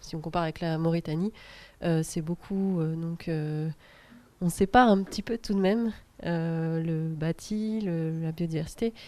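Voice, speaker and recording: Against a quiet background, a woman with a fairly low pitch and a dark, mellow tone speaks at a fairly slow pace with fairly even intonation. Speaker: round table moderator. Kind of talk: panel moderation. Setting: round table with audience. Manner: soft-spoken; hesitant, many fillers.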